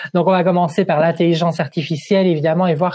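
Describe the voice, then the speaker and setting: A man with a Liège accent, high-pitched yet dark and mellow in tone, talking at a very fast pace. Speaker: job search advisor. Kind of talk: webinar presentation.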